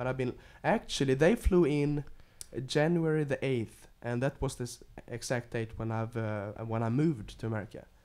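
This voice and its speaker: This man speaks in a Swedish accent, his pitch medium with ordinary variation. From Sweden. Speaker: guest of a radio show, member of a Swedish family. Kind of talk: casual chat.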